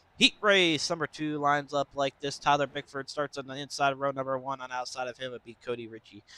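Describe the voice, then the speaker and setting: The voice is bright and sharp, racing at a very fast pace with big swings in loudness and ordinary pitch variation, the sound dry and close with no echo. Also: man. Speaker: sim racing commentator. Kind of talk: live commentary.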